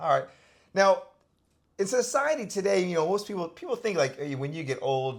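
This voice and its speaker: At a fairly quick pace, a man speaks in a high voice with very wide pitch swings and long, frequent pauses. The recording is very clean, with a silent background. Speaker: channel host. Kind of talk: casual talk to camera.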